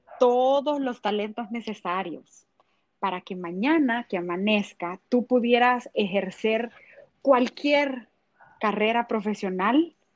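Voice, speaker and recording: At a very slow pace, a woman speaks with a fairly high pitch in a dry, close sound with no echo. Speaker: podcast host. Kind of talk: interview.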